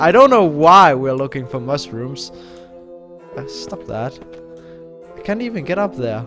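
Clear music plays in the background as a man speaks at a fairly high pitch. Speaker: gamer. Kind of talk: casual gameplay commentary. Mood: relaxed, mildly puzzled.

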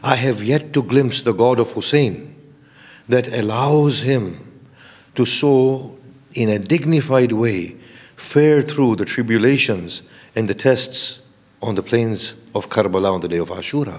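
The man talks at a fairly slow pace, and his pitch varies in an ordinary way. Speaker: preacher. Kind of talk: sermon. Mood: earnest, reflective. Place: hall. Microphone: podium.

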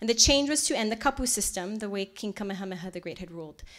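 With a Hawaiian accent, a woman talks at a very fast pace over a quiet background. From Kailua-Kona, Hawaii. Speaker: resort culture director, lecturer. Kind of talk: public lecture. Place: hall. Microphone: podium.

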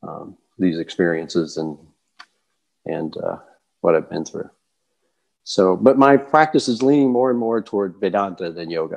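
A man's fairly low voice at a moderate pace, with very wide pitch swings, long, frequent pauses and a quiet background. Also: big swings in loudness. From Kentucky, US South. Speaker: yoga teacher. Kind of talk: interview. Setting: video call. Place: home room. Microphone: earbuds.

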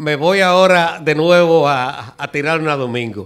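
Lively intonation carries speech that moves at a fairly slow pace. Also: man. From Dominican Republic. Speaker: architect and amateur historian; guest. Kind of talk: TV interview. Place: studio. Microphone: handheld.

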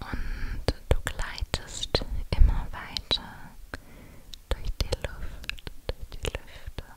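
Whispering softly, a woman speaks at a very slow pace. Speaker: relaxation narrator. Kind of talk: guided meditation, soft ASMR-like storytelling. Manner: soft close whisper. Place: home room. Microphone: studio mic.

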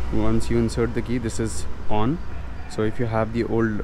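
A man speaks at a moderate pace. The sound is dry with no echo, over light background noise. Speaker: motorcycle enthusiast vlogger. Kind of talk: tutorial. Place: street. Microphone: phone near.

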